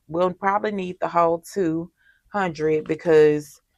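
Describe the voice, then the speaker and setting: A woman with a Mississippi accent speaks at a fairly slow pace in a fairly low pitch. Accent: Southern US (Mississippi). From US South, Mississippi. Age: 30s. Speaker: budgeting vlogger. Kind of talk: casual chat. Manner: chatty, conversational.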